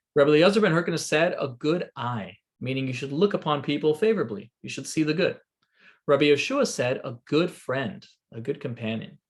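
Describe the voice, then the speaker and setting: A man's somewhat breathy, fairly high voice, with lively intonation and a fairly quick pace. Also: big swings in loudness. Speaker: rabbi. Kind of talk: lecture. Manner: fast.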